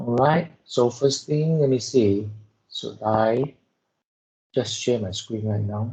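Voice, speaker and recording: Soft-spoken and somewhat breathy, a man with a medium pitch and a dark, mellow tone talks at a very slow pace with ordinary pitch variation and long, frequent pauses. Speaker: lab instructor. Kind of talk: lecture.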